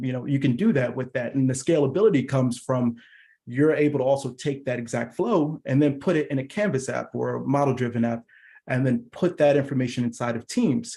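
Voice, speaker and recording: A man speaks fairly quickly in a dark, mellow tone that is somewhat breathy. His pitch varies in an ordinary way. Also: medium pitch for a man. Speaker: product engineer presenting a tech session. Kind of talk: technical presentation. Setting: virtual user group meeting.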